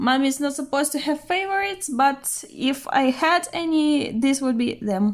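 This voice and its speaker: The speaker has a non-native accent and a moderate pace. The intonation is lively. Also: woman. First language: not English. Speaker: art vlogger. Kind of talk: casual show-and-tell narration. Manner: hesitant with fillers.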